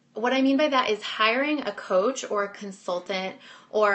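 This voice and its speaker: This woman speaks at a moderate pace with ordinary pitch variation. She has a normal speaking voice. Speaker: business coach. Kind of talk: webinar presentation.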